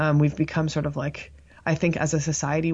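Speaking at a fairly quick pace with a Canadian accent, a woman has a very deep, low pitch, a somewhat breathy quality and a monotone, flat intonation. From Canada, Toronto (Scarborough). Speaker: psychology professor. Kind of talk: interview.

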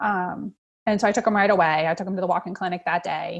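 A woman speaks at a fairly quick pace with a somewhat breathy voice and fairly even intonation. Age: 40s. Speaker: social worker and mother of a child with cancer. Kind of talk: interview.

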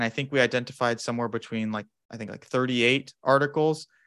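This man speaks with a General American accent in an unremarkable speaking voice, pitched in the medium range with ordinary variation. The recording is very clean, with a silent background. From US Southwest, Phoenix, Arizona. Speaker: sleep researcher, psychology graduate student. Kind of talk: interview, academic discussion.

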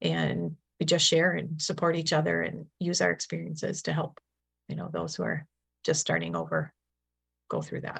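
With an American accent, a woman speaks at a moderate pace. Her pauses are long and frequent. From Milwaukee, Wisconsin, US Upper Midwest. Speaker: nurse in addiction recovery. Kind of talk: interview testimony.

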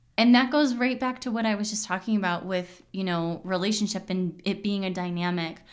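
A normal speaking voice at a fairly quick pace, with hardly any pauses and ordinary pitch variation. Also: woman, medium pitch for a woman. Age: 30s. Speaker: podcast host and intuitive coach. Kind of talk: casual solo monologue.

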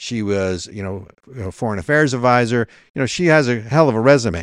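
Speaking at a moderate pace against a quiet background, a man with an unremarkable speaking voice uses lively intonation at a medium pitch. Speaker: podcast host. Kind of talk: political commentary discussion. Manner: opinionated, fluent.

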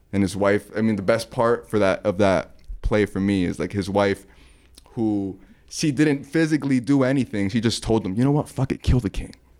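A man's fairly low voice at a moderate pace with ordinary pitch variation, an ordinary speaking voice. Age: 20s. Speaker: artist and sneaker painter. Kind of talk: casual chat.

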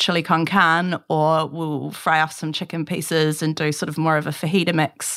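With a New Zealand accent, a woman speaks at a fairly low pitch. The recording is very clean, with a silent background. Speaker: food business founder. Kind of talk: interview.

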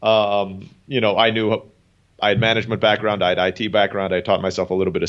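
Talking at a very fast pace, a man speaks in a Turkish accent. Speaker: language school founder. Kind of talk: casual interview.

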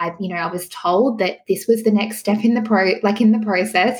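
A woman talks at a fairly quick pace with an Australian accent. Her medium-pitched voice is somewhat breathy, with fairly even intonation. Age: 30s. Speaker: pregnancy coach. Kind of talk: interview. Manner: calm, soothing.

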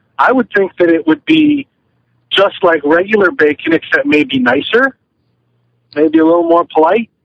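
Speaking in a high voice at a moderate pace, a man keeps his loudness very even while his intonation stays lively, broken by long, frequent pauses. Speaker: podcast co-host. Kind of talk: casual chat. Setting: in a car. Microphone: phone line, poor sound.

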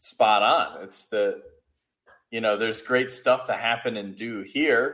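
A man speaks at a fairly slow pace with big swings in loudness. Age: 30s. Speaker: seminary-bound student. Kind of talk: casual conversation. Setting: call recording. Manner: hesitant, many fillers.

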